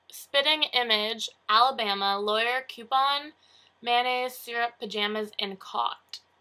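Bright and sharp in tone, a woman with a Canadian accent speaks at a fairly high pitch with ordinary pitch variation. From Canada, southern Ontario. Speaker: vlogger. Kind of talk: casual vlog. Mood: cheerful, chatty. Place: home room. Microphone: webcam.

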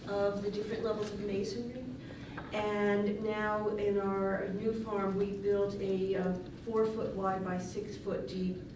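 A woman's fairly slow, monotone, flat delivery, with noticeable background noise and audible room echo. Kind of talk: conference talk. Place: hall.

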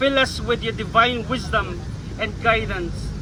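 Speaking with a Filipino accent, a man delivers his words in a solemn tone over noticeable background noise. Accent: Filipino English and Tagalog. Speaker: rally prayer leader. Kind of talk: fervent prayer. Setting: outdoor public rally with crowd. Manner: solemn, earnest, pleading.

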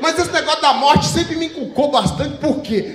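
The intonation is lively as this man talks. Room echo is audible. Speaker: stand-up comedian. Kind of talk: stand-up comedy set. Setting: stage with live audience. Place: stage. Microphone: handheld.

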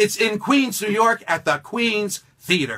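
A man speaks in a raised, projected voice with a bright, sharp tone and high pitch. The background is quiet. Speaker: professional wrestling ring announcer and stage show performer. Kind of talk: promotional announcement to camera for a stage show. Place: studio.

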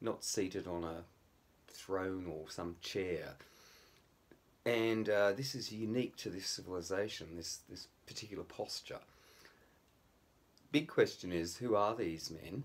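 A man with a fairly low pitch talks at a fairly slow pace, with long, frequent pauses and ordinary pitch variation. His loudness swings a lot. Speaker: amateur history commentator. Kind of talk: lecture. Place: home room. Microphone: phone near.

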